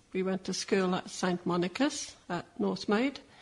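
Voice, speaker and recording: A woman speaks at medium pitch and a moderate pace, her voice somewhat breathy. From Malta, then Sydney. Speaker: Maltese migrant. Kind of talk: interview testimony.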